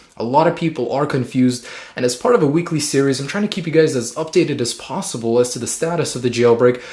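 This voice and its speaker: A man's very fast, fairly high-pitched speech in a Russian accent, with ordinary pitch variation and hardly any pauses. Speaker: tech YouTuber. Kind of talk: tech news update video. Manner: casual.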